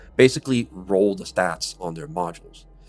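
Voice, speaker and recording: Music sounds in the background as a man talks in a fairly low voice. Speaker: gaming YouTuber. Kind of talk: video commentary review. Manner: halting, repetitive.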